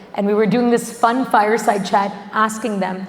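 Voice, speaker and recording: At a moderate pace, a woman speaks in a fairly high, monotone, flat voice, with audible room echo and noticeable background noise. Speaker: panel moderator. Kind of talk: panel discussion. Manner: loud.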